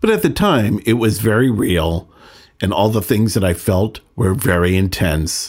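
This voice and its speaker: A man speaks in a plain, everyday voice with an American accent. His pitch is fairly low with ordinary variation, and his pace is fairly slow. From Northern California. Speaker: podcast host, recovering addict. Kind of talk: personal storytelling monologue.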